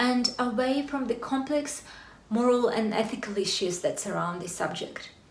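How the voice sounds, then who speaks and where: A woman with a Russian accent speaks in a high pitch with lively intonation. Audible room echo and noticeable background noise surround her voice. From Russia, Siberia. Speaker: corporate lawyer. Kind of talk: talk to an audience. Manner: formal.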